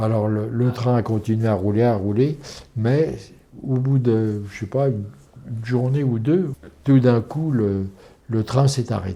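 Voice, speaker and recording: A man speaks at a fairly slow pace in a dark, mellow tone, with ordinary pitch variation and long, frequent pauses. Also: medium pitch for a man. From France. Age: 80s+. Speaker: former resistance fighter and concentration camp deportee. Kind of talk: interview answer.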